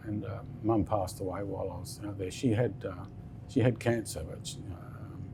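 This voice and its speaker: Speaking at a moderate pace with fairly even intonation, a man with a fairly low pitch shows big swings in loudness amid audible room echo. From Western Australia. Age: 60s. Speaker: business founder. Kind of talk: interview. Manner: halting.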